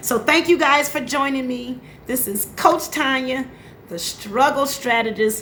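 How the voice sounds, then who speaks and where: A high-pitched, animated woman's voice with ordinary pitch variation. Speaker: life coach. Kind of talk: motivational live stream talk. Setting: Facebook live audio. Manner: occasional stutter or slips.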